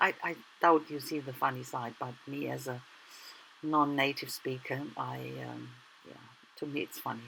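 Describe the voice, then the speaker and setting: A woman with a German accent speaks at a moderate pace, her loudness swinging widely and her speech broken by long, frequent pauses. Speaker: art journaling YouTuber. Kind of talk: tutorial. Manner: casual, halting.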